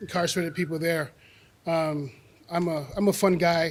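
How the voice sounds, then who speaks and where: A high-pitched man with a New York accent. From New York City, the Bronx. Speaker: retired corrections officer and arts program founder. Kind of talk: public talk. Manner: fast; halting.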